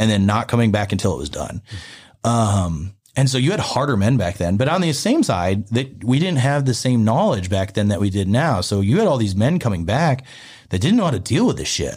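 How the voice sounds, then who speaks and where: A man talks at a fairly quick pace and medium pitch, with lively intonation. His voice is somewhat breathy, and the recording is very clean with a silent background. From upstate Pennsylvania, later Memphis. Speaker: Air Force veteran. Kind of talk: casual chat.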